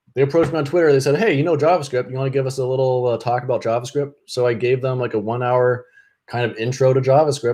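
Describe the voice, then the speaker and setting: A man's very fast, somewhat breathy speech at a medium pitch, dark and mellow in tone. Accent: American. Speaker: live streamer, programmer. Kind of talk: live stream chat. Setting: live stream. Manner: repetitive, casual.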